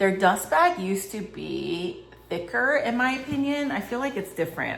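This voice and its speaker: The speaker mumbles with very wide pitch swings, amid noticeable background noise and audible room echo. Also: woman. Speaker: fashion and handbag vlogger. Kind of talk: casual unboxing vlog. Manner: chatty, filler-heavy; mumbling.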